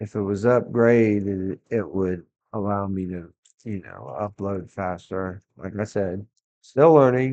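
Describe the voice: The voice has a dark, mellow tone and lively intonation, moving at a slow pace. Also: man, fairly low pitch for a man.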